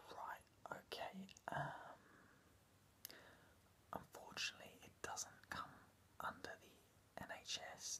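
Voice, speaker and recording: Soft-spoken and whispering, a man leaves long, frequent pauses over light background noise. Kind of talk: comedic role-play monologue to camera. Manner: soft, slow ASMR near-whisper. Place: home room. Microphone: phone near.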